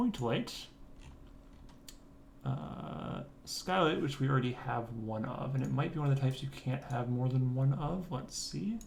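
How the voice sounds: Vocal fry, a slightly mellow tone, ordinary pitch variation, and a slow pace. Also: man.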